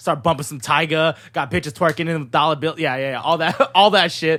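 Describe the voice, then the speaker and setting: Loud and very fast, this voice carries an American accent, a bright, sharp tone and an animated delivery. The recording is very clean, with a silent background. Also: man. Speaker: podcast host. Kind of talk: casual chat.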